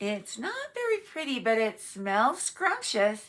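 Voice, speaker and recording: A woman uses a put-on character voice at a fairly high pitch. Her delivery is fairly slow. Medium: read story. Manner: enthusiastic about food.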